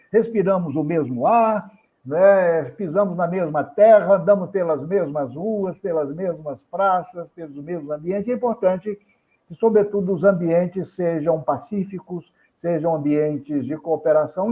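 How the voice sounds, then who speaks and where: A high-pitched man at a fairly slow pace, with ordinary pitch variation. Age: 70s. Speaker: businessman and educator. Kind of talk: interview. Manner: formal.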